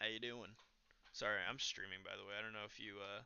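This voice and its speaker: His intonation stays monotone and flat. The man talks in an American accent. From Nebraska, US Midwest. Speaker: streamer. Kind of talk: casual chat. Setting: live stream voice chat. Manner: halting.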